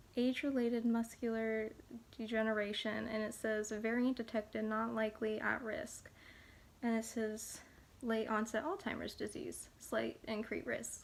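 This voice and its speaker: The speaker is soft-spoken, with a monotone, flat intonation. The pace is moderate. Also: woman, fairly high pitch for a woman. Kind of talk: ASMR soft-spoken talk to camera.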